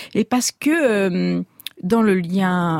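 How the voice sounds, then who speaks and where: A woman's plain, everyday voice at medium pitch, fairly slow and lively in intonation, with a dry, close sound and no echo. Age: 50s. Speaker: novelist. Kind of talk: radio interview.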